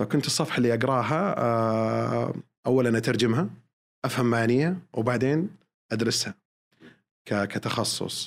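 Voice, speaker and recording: At a fairly slow pace with long, frequent pauses, a man speaks at a medium pitch with ordinary pitch variation and very even loudness. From Saudi Arabia, Eastern Province. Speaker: airline pilot. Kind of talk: podcast interview. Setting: studio.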